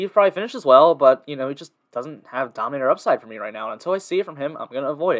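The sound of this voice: A man talks at a fast pace. His tone is fairly bright.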